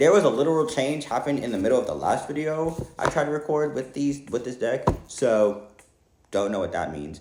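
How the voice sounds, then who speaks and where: This man has a fairly high pitch and ordinary pitch variation. He talks at a fairly quick pace. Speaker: tarot reader. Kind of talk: tarot reading monologue. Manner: fast.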